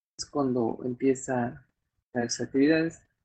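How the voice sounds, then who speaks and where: The man keeps a fairly slow pace as he talks. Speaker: podcast host. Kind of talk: casual chat. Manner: halting.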